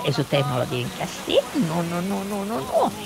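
With very wide pitch swings, a woman talks fairly quickly against noticeable background noise. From Chile, Valparaíso. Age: 60s. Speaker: listener sharing childhood memories. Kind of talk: recorded anecdote.

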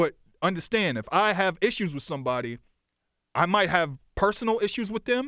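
With an American accent, a man speaks in a raised, projected voice at a high pitch, his pitch swinging very widely between long, frequent pauses. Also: fairly quick pace. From Boston, South End / Lower Roxbury. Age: 40s. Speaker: music journalist and historian. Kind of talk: casual chat. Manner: rapid, run-on speech.

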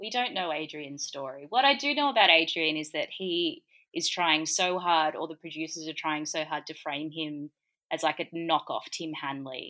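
A woman with an Australian accent, a very deep, low pitch and a bright, sharp tone speaks at a moderate pace with ordinary pitch variation, in a very clean recording with a silent background. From Gold Coast, Australia. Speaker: comedian. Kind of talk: casual chat.

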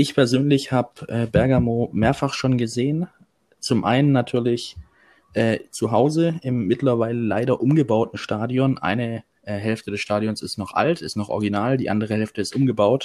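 This man has an unremarkable speaking voice at a medium pitch, talking at a moderate pace with ordinary pitch variation over a very clean recording and silent background. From Swabia, Germany. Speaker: football fan, groundhopping youtuber. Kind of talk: casual chat.

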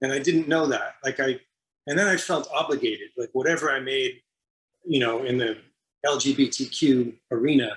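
Bright and sharp in tone, a man with an American accent talks at a fairly high pitch with ordinary pitch variation. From Massachusetts, US. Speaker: screenwriter and film director. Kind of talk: interview.

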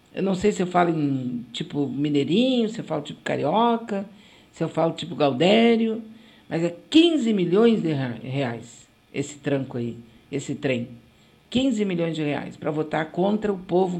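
A woman's fairly low voice with very wide pitch swings, at a fairly slow pace. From Rio Grande do Sul, Brazil. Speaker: web radio host. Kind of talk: casual radio talk and commentary. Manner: animated.

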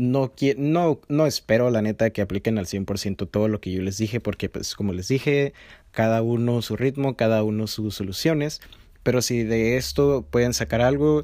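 In a very clean recording with a silent background, a man with a Mexican accent and medium pitch speaks at a fairly slow pace with lively intonation. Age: 20s. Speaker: podcast host. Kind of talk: casual monologue. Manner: informal, slangy.

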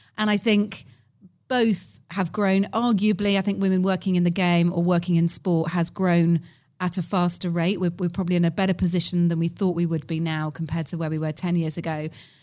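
On a very clean recording with a silent background, a woman talks at a fairly quick pace. She has a normal speaking voice with a fairly low pitch. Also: fairly even intonation. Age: 40s. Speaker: event host and podcaster. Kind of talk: casual chat. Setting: conference venue.

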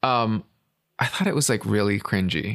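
A man's medium-pitched voice with vocal fry, lively intonation and a moderate pace. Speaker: podcast host. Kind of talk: casual podcast chat about pop music.

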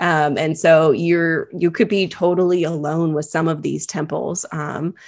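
A woman speaks with an American accent at a very deep, low pitch. Her pace is fairly slow, and vocal fry runs through her voice. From California. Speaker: travel blogger. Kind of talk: casual interview. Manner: animated.

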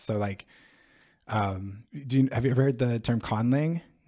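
Fairly quick and fairly even in intonation, this voice has a dark, mellow tone and an American accent. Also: man. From US, San Diego, California. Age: 30s. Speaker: PhD student in NLP and linguistics. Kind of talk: casual interview conversation. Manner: hesitant, many fillers and restarts.

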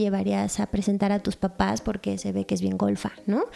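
This woman speaks with a Mexican accent. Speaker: podcast co-host. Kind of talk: casual chat. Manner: animated, laughing often.

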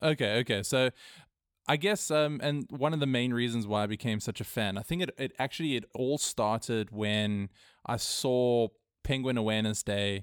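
On a very clean recording with a silent background and a dry, close sound with no echo, a man speaks at a moderate pace in a medium pitch with ordinary pitch variation. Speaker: podcast co-host. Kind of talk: casual interview. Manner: halting, many fillers.

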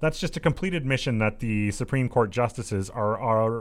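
Over a silent background in a very clean recording, a man talks at a fairly quick pace in a plain, everyday voice with lively intonation. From Saskatchewan, Canada. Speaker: political talk radio host. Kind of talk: reading news articles aloud with commentary.

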